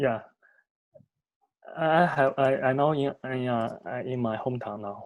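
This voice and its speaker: A man with a Chinese accent speaks at a fairly slow pace with long, frequent pauses. His pitch is medium, with ordinary pitch variation. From northern China, Inner Mongolia (Hohhot). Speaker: postgraduate student. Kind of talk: class self-introduction. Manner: halting.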